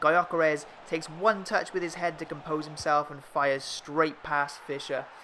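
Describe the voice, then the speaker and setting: A man with a fairly high pitch and a slight Welsh accent. He speaks with hardly any pauses and fairly even intonation. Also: moderate pace, big swings in loudness. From Wales. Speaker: gaming YouTuber. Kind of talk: gameplay commentary. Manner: narrating match play-by-play.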